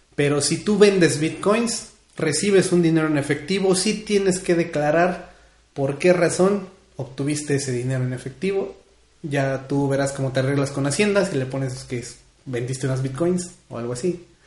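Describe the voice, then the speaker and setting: Animated male speech with a central Mexican accent, fairly high pitch, ordinary pitch variation and audible room echo. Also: moderate pace. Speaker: community radio host. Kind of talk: casual radio show chat.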